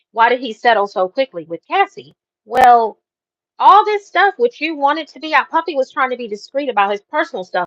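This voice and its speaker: A woman's high voice makes very wide pitch swings and big swings in loudness, the sound dry and close with no echo. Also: fairly quick pace. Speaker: live stream host, celebrity news commentator. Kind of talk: live stream commentary reading trial updates. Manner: animated, emotional.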